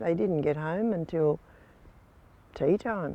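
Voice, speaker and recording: Someone talks at a very slow pace with an Australian accent. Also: woman. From Port Fairy, Victoria, Australia. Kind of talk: oral history interview.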